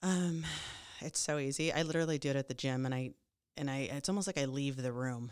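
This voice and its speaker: A woman with a very deep, low pitch speaks at a very fast pace with ordinary pitch variation and very even loudness, in a very clean recording with a silent background. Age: 40s. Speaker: commercial real estate broker. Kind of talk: interview.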